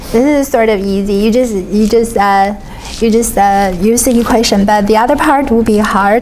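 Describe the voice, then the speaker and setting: At a moderate pace, a woman speaks with a fairly high pitch, fairly even intonation and very even loudness, with audible room echo and noticeable background noise. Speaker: finance professor. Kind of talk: lecture. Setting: classroom.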